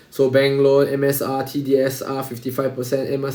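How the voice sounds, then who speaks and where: A Singaporean accent with audible room echo. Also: man. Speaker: exam revision tutor. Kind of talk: tutorial.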